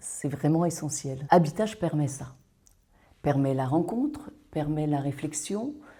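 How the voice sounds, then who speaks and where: A woman with a dark, mellow tone and a somewhat breathy voice speaks very slowly with lively intonation. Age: 60s. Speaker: workshop participant. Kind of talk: testimony.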